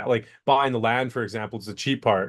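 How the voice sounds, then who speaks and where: With a slight Canadian accent, a man speaks in fairly even intonation against a quiet background. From Canada, BC, near Vancouver. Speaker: entrepreneur. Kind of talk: interview. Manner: halting, repeats words.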